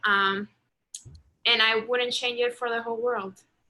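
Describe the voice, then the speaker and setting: The speaker has a Spanish accent and a bright, sharp tone with monotone, flat intonation. The background is quiet. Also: woman. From Venezuela. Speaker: international student. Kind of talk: casual introduction on video call.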